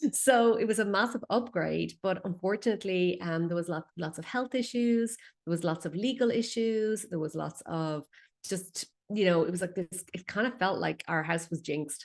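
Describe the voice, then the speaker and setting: This woman speaks with an Irish accent at medium pitch. Her pace is moderate. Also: ordinary pitch variation. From Ireland. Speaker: feng shui expert. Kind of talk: interview.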